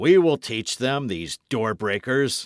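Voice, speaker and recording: Putting on a growling character voice, a man speaks fairly slowly in a calm tone at medium pitch, with lively intonation. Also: dry, close sound with no echo, very clean recording, silent background. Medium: read story. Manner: calm, jeering.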